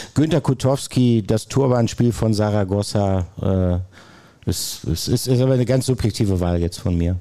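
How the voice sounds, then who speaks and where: Here a man speaks with a dark, mellow tone and a fairly low pitch. His intonation is lively. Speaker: sports reporter. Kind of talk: casual chat. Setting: stage with audience.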